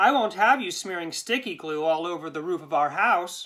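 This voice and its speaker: A female-sounding, put-on character voice is fairly low-pitched and paced moderately. The recording is very clean, with a silent background. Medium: read story.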